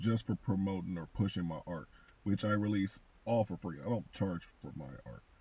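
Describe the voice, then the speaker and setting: The voice has a dark, mellow tone with vocal fry and lively intonation, moving at a fairly slow pace. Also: man. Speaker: comic book content creator and artist. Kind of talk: casual commentary monologue.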